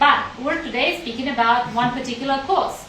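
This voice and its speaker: There is noticeable background noise and audible room echo around a woman speaking at a high pitch. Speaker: college representative. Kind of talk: live stream chat.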